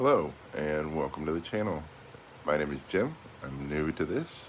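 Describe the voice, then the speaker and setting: Noticeable background noise runs under the recording. A man speaks at a moderate pace in a very deep, low pitch. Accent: American. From United States. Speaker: expat travel vlogger. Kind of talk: casual vlog monologue. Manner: hesitant, many fillers.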